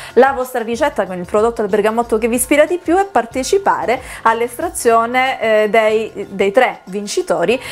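Faint music sits in the background. The woman talks at a moderate pace. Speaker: TV show host. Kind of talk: presenter talk to camera. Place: bar. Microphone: lapel.

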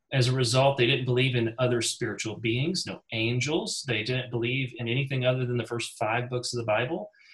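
A man's somewhat breathy voice at a fairly quick pace, with fairly even intonation and hardly any pauses, against a quiet background. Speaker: Bible study teacher. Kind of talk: Bible study class. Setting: video call. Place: home room. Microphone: video call.

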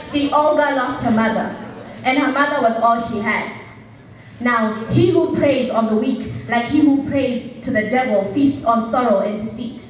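The delivery is animated and theatrical at a moderate pace. Light background noise and audible room echo come through. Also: woman, high pitch for a woman, ordinary pitch variation. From Zambia. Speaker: slam poet. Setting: stage with audience. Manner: animated, emphatic and punchy, with a theatrical build and dramatic pauses. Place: stage.

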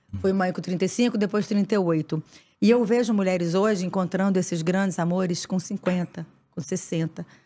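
This woman's voice has a dark, mellow tone. She talks at a fairly slow pace. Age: 50s. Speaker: actress; podcast guest. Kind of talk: casual chat. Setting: studio. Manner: animated. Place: studio. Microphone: studio mic.

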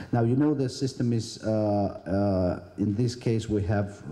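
Someone talks at a moderate pace in a normal speaking voice with fairly even intonation. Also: man. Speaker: government minister. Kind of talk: conference speech. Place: hall. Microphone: handheld.

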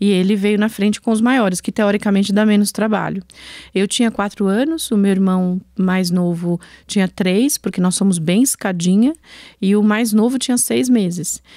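The recording is dry with no echo, and the background is quiet. A woman with a dark, mellow tone speaks at a moderate pace, with very even loudness and ordinary pitch variation. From Brazil, Alagoas (Northeast), raised in São Paulo area. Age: 50s. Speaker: entrepreneur, founder of a women's entrepreneurship network; podcast guest. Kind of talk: podcast interview. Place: studio. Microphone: studio mic.

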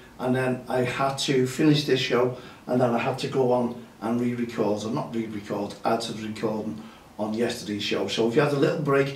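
A man talks at a fairly quick pace with ordinary pitch variation. Light background noise and audible room echo come through. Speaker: grassroots football show host. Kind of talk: casual show chat. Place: studio.

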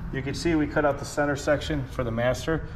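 With fairly even intonation, a man speaks at a fairly quick pace over light background noise. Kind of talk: tutorial. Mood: relaxed, frank. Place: workshop. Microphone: camera far.

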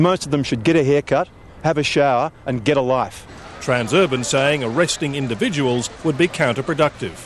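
With an Australian accent, a man talks at a fairly high pitch with ordinary pitch variation. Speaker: TV news reporter. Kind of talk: news reporting, live TV report. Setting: outdoors, on location live cross. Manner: formal, brisk, authoritative; clipped broadcast delivery with wry, sarcastic edge.

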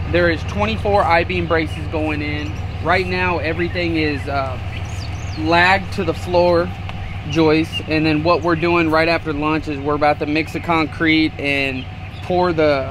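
A man at a fairly slow pace, dry sound with no echo, and noticeable background noise. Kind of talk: job site walkthrough. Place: garden.

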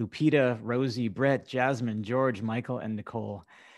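Fairly even intonation marks a man's medium-pitched delivery in an ordinary speaking voice. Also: quiet background. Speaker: communications director of advocacy organization. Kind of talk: scripted webinar introduction. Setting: video call. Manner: formal.

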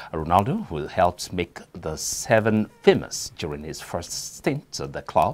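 A man with a Nigerian accent at a fairly slow pace, in a very clean recording against a silent background. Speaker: news anchor. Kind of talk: newsreading, scripted studio bulletin. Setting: studio. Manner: formal, measured, steady newsreader delivery.

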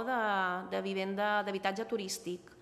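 A woman with a medium pitch talks fairly slowly in a monotone, flat intonation. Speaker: island council official presenting study. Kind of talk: press conference. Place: meeting room. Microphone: podium.

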